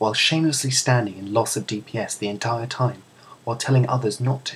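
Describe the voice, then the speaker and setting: A man with a British accent speaks in a soothing tone with ordinary pitch variation, against noticeable background noise. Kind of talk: comedic read story.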